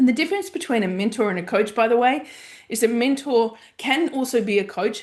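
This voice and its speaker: A woman with a fairly high pitch and a somewhat breathy voice talks at a moderate pace, her pitch varying in an ordinary way. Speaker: life coach and mentor. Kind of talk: podcast monologue. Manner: animated.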